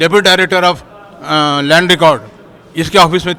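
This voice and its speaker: With noticeable background noise, a man talks at a moderate pace in a high pitch with fairly even intonation. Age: 70s. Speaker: craftsman, member of the public. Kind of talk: street interview.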